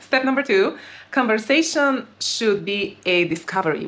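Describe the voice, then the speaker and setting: With noticeable background noise behind her, a woman speaks with lively intonation. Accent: non-native. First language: not English. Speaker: dating and relationship coach. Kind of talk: advice monologue.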